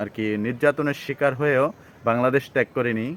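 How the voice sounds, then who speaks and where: A man talks with a normal speaking voice at a medium pitch. The sound is dry and close with no echo. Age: under 60. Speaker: travel vlogger. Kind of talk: vlog narration.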